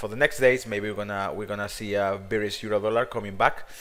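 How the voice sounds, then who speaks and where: A man speaks with a Spanish accent. His pitch sits fairly low. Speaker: market analyst. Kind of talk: market analysis video. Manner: halting, many fillers.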